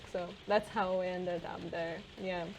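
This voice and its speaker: A woman speaks at a fairly slow pace in a monotone, flat intonation. Audible room echo surrounds her voice. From Siberia, Russia (Armenian family). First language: Russian and Armenian. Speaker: podcast co-host. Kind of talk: casual chat.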